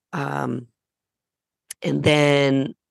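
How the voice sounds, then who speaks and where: A woman's very deep, low-pitched voice. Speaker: podcast co-host. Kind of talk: casual chat.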